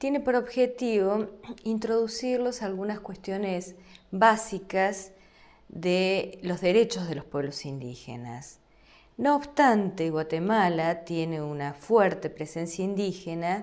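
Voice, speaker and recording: Speaking at a very slow pace with an Argentine accent, the voice has lively intonation and big swings in loudness, with audible room echo in the space. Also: woman, medium pitch for a woman. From Argentina. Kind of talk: lecture. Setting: recorded online course video.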